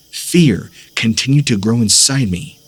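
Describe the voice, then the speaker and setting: Music plays in the background as a man speaks at a fairly low pitch with lively intonation. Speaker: horror story narrator / voice-over artist. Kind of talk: scary story narration, first-person storytelling.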